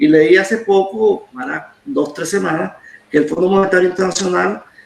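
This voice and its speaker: There is noticeable background noise. A man speaks in a high voice with lively intonation. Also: moderate pace. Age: 70s. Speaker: historian. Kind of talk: interview.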